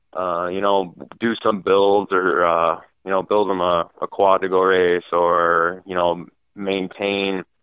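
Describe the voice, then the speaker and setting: A man speaks in a very deep, low pitch with a slight Upper Midwest accent. His intonation is monotone and flat. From Wisconsin, US. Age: 20s. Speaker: off-road racer. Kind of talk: casual interview. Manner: many fillers, 'you know'.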